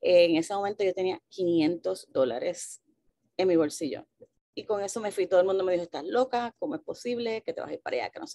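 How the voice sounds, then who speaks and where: With a dark, mellow tone and lively intonation, a woman talks at a fairly quick pace with big swings in loudness over a quiet background. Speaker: journalist and news outlet founder; journalist, news outlet founder. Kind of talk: panel talk. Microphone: video call.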